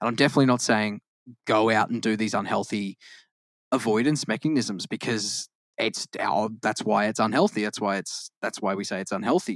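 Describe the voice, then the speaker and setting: A man with an Australian accent at a fairly low pitch, fairly quick pace and ordinary pitch variation, in a dry, close sound with no echo and a very clean recording with a silent background. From Australia, Queensland (born in Victoria). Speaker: podcast co-host. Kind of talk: casual chat. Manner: halting, frequent self-corrections.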